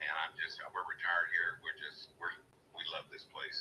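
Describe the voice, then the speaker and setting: A man speaks in a raised, projected voice with a bright, sharp tone. He keeps a fairly quick pace. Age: 70s. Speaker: retired homeowner selling property. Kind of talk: phone conversation.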